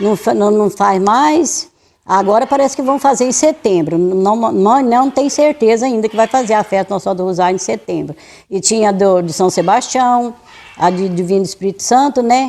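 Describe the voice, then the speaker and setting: With a dark, mellow tone and lively intonation, a woman speaks at a moderate pace in a fairly high pitch. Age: 70s. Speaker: local resident interviewee. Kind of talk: documentary interview. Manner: halting, many repetitions.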